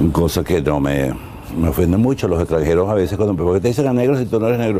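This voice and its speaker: A man with a fairly low pitch talks at a very fast pace amid noticeable background noise. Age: 80s+. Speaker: artist interviewed about his life. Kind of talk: life-story interview. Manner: hesitant with fillers.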